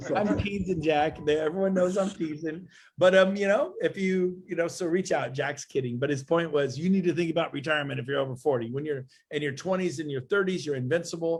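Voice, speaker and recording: A man's high voice, quick-paced and animated, with ordinary pitch variation. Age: 50s. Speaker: real estate executive. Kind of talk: casual chat.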